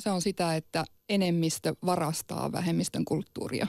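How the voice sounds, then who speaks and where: Over a quiet background, a woman speaks at a moderate pace in a dry sound with no echo. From Sámi region, northern Finland; northern Finland. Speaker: Sámi activist. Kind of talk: radio debate. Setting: studio. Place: studio.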